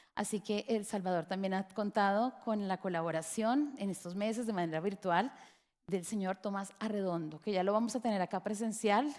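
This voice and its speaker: Moderate pace from a woman of medium pitch, with ordinary pitch variation and a Colombian accent. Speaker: education lecturer. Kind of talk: lecture.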